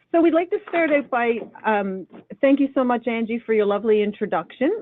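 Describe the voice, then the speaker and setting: A woman talks at a moderate pace. She speaks in a Newfoundland accent. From Newfoundland, Canada. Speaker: online program coordinator and presenter. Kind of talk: webinar presentation. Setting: online webinar.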